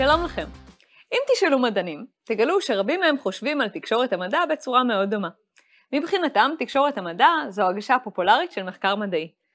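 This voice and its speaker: Over faint music in the background, a woman talks fairly quickly in a high voice with very wide pitch swings. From Israel. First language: Hebrew. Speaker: lecturer and course host. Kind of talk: scripted course presentation; interview. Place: studio.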